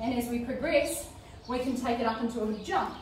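The speaker is a woman. Light background noise and audible room echo surround her voice. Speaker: fitness instructor. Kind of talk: workout instruction. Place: home room. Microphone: camera far.

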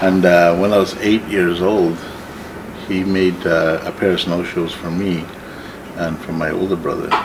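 A man speaks at a fairly slow pace in a very deep, low voice, flat and monotone, with long, frequent pauses over noticeable background noise. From northern Ontario, Canada. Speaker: artist and entrepreneur. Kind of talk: life story interview; interview answer. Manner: halting, many fillers. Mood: calm, reflective storytelling. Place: workshop.

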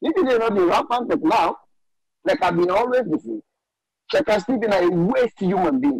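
A man's high-pitched, animated voice with lively intonation, very even loudness, a moderate pace, and long, frequent pauses. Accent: Sierra Leonean. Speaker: caller. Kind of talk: call-in commentary.

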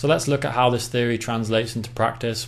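Heard with audible room echo, a man with an English accent talks at a medium pitch. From England. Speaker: acoustics consultant. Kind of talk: presentation.

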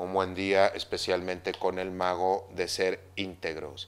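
At a fairly slow pace, a man speaks in a very deep, low pitch. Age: 50s. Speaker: Mayan astrology teacher. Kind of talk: spiritual talk monologue. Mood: personal, reflective story. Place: home room.

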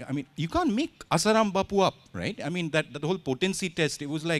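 With vocal fry, a man speaks at a fairly quick pace. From India. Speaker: author; author on panel. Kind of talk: literature festival conversation. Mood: humorous, satirical. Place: stage. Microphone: handheld.

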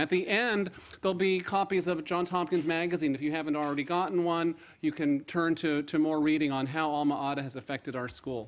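The man's voice is high, and he talks fairly quickly with ordinary shifts in pitch. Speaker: host. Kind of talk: opening remarks at an event. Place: hall. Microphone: podium.

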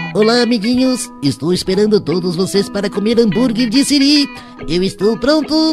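Over clear music in the background, a man puts on a cartoonish character voice pitched high. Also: moderate pace. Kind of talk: cartoonish character impression. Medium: voice reel. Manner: overexcited, chirpy.

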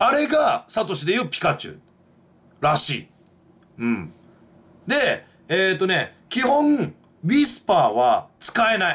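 Speaking at a fairly slow pace, a man with a high voice makes very wide pitch swings and big swings in loudness, broken by long, frequent pauses. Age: 20s. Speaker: YouTuber; vlogger. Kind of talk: casual monologue; casual vlog chat, movie review. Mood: playful complaining. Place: home room. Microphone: webcam.

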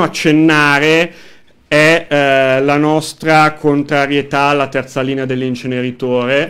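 Against a quiet background, a man with a fairly high pitch speaks at a very slow pace. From northern Italy, Como; northern Italy. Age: 30s. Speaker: local council candidate and union activist; council candidate. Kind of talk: radio interview; interview answer. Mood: calm, earnest political talk. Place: studio. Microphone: studio mic.

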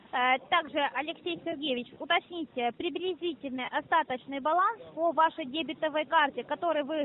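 A woman speaks at a moderate pace in a high voice with lively intonation, recorded dry with no echo over light background noise. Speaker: phone scammer posing as bank specialist. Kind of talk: scam phone call. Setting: phone call. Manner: formal. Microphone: phone line.

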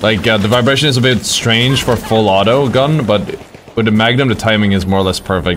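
Speaking fairly quickly, a man with a medium pitch and ordinary pitch variation keeps his loudness very even, with audible room echo and noticeable background noise. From Britain. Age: 20s. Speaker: gaming streamer. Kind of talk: live gameplay stream.

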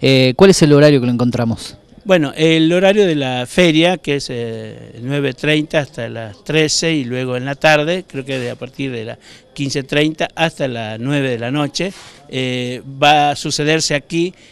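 Fairly slow in pace, a man speaks with a fairly high pitch and ordinary pitch variation. The sound is dry with no echo. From northern Argentina, Orán, Salta; northern Argentina. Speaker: writer. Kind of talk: interview. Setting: book fair venue. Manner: hesitant, many fillers. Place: hall. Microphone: handheld.

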